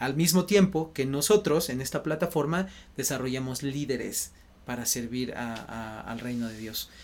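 A man with a central Mexican accent talks at a fairly slow pace, medium in pitch with ordinary pitch variation and big swings in loudness. The recording is very clean, with a silent background. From Mexico City. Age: 30s. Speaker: missionary base leader. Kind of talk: interview.

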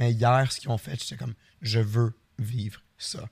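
At a moderate pace, a man speaks at a medium pitch, somewhat breathy, with ordinary pitch variation. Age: 30s. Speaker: podcast co-host and streamer. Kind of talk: casual chat.

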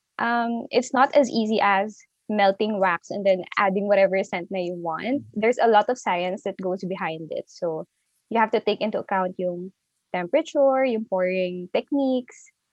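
A woman talks in an ordinary speaking voice at a medium pitch. She keeps a moderate pace with ordinary pitch variation. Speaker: candle entrepreneur. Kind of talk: interview.

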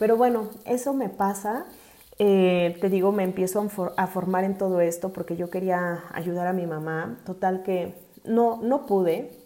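This woman's voice sits at a medium pitch with a dark, mellow tone. She speaks at a fairly slow pace with ordinary pitch variation. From Mexico City. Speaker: podcast host, accountant and life coach. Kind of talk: personal testimony monologue. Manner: hesitant, many fillers and repetitions.

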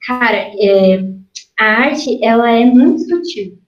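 A woman speaks with fairly high pitch and ordinary pitch variation, and audible room echo surrounds her voice. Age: 20s. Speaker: artist. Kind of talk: casual interview.

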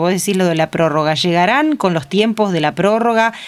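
At a moderate pace, a woman with a medium pitch and ordinary pitch variation talks through noticeable background noise. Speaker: radio host. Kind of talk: interview; formal introduction.

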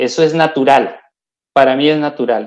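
A man speaks at a very slow pace. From Colombia. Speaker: multinational company employee. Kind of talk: interview.

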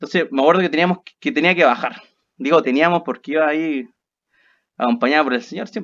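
Speaking at a very fast pace in a Chilean accent, a man with a fairly high pitch uses ordinary pitch variation and big swings in loudness against a quiet background. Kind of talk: casual chat.

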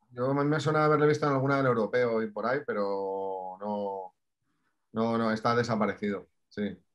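A man speaks at a moderate pace with an ordinary speaking voice. His pitch sits in the middle range and varies in an ordinary way. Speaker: podcast co-host. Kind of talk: casual chat.

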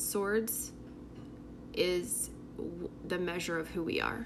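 A very slow voice comes through with audible room echo. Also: woman. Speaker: tarot reader. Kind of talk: tarot reading monologue. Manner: casual, filler-heavy.

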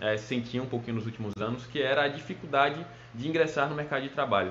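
Noticeable background noise and audible room echo surround this man, whose medium-pitched voice shows ordinary pitch variation. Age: 20s. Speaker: petroleum engineer. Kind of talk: recorded talk to students.

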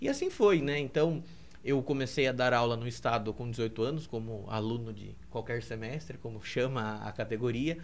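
Audible room echo surrounds a man who talks at a medium pitch with ordinary pitch variation. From Brazil, Piedade (São Paulo state). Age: 20s. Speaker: seminarian. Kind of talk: podcast interview.

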